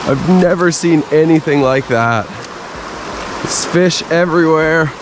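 Over noticeable background noise, a man speaks at a fairly slow pace. His pitch varies in an ordinary way, and the sound is dry with no echo. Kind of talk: casual vlog chat. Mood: excited, amazed. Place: waterside. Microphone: phone near.

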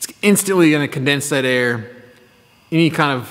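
Male voice at a fairly quick pace with ordinary pitch variation. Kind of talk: casual vlog chat. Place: workshop. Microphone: phone near.

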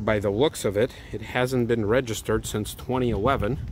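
The speech moves at a fairly quick pace, with light background noise and a dry sound with no echo. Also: man. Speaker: car enthusiast vlogger. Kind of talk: casual vlog commentary. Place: street. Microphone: phone near.

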